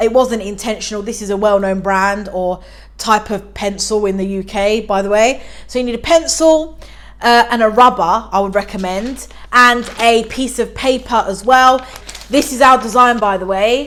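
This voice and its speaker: In a British accent, a woman talks with ordinary pitch variation. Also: fairly high pitch for a woman, moderate pace. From UK. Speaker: DIY YouTuber. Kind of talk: tutorial. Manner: casual, chatty.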